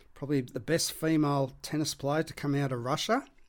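In a very clean recording with a silent background, a man with an Australian accent speaks at a fairly high pitch. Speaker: sports podcast host. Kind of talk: solo podcast monologue.

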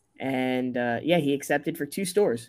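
Heard in a very clean recording with a silent background, a man uses a normal speaking voice at a medium pitch and a moderate pace. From US Northeast, rural Connecticut. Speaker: company founder. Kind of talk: interview.

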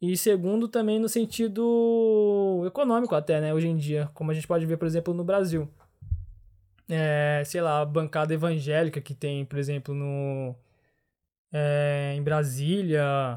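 A dark, mellow tone moves at a fairly slow pace with ordinary pitch variation. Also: man, fairly high pitch for a man. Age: 20s. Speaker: chemical engineering student. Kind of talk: casual conversational interview. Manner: hesitant, with fillers and repetitions.

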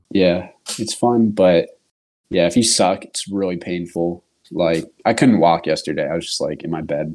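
A man speaks with a Californian accent at a moderate pace. His pitch is very deep and low. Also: ordinary pitch variation. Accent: Californian American. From US West Coast, California East Bay. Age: 30s. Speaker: podcast host. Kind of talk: casual chat.

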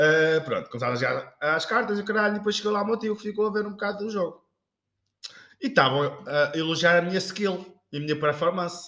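A man's raised, projected voice, high in pitch, with lively intonation at a fairly quick pace. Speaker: podcast co-host. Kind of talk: casual chat. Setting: kitchen.

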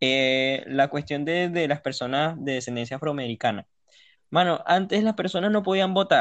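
At a moderate pace, a normal speaking voice is heard. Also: man, fairly high pitch for a man. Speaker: podcast co-host. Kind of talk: casual chat.

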